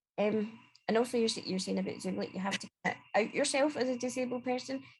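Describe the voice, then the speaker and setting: A woman with a fairly high pitch and vocal fry talks at a very fast pace, with ordinary pitch variation. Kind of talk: casual panel discussion. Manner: clear speaking.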